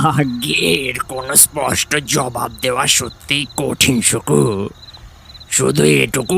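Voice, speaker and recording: Over clear background noise, a man puts on a raspy character voice at medium pitch with lively intonation. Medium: audio drama. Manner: warm, familiar, affectionate.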